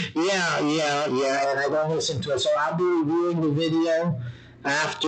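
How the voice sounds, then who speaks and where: At a moderate pace, a man speaks through noticeable background noise and audible room echo. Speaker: political commentary livestream host. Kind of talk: livestream monologue. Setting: home studio livestream. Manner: halting.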